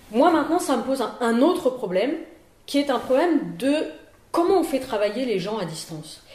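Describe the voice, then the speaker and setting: A woman's high voice with very wide pitch swings at a moderate pace, set in audible room echo. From Paris region, France. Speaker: virology professor and physician. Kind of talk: interview.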